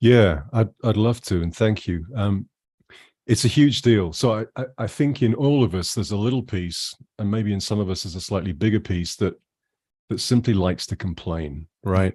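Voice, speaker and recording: Against a quiet background, a speaker with a British accent talks at a moderate pace in a dark, mellow tone with ordinary pitch variation. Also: man, fairly low pitch for a man. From UK. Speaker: jazz musician. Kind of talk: interview. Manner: animated.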